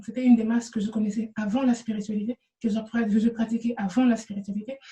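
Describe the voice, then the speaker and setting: A woman speaks with a fairly high pitch and a dark, mellow tone. Her intonation is monotone and flat, with a non-native accent. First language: not French (speaking French). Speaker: spiritual energy healer, vlogger. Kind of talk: talking-head video answering questions. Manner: halting, frequent hesitations and repetitions.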